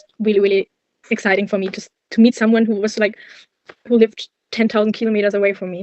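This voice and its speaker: The delivery comes at a very fast pace with fairly even intonation and a German accent. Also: woman. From Germany, Cologne. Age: 20s. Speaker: university student. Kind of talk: interview.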